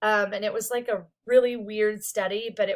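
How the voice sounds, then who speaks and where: A woman talks loudly at a fairly slow pace. Her pitch is fairly high. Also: very clean recording, silent background. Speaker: psychology instructor. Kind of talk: recorded lecture. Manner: casual, filler-heavy.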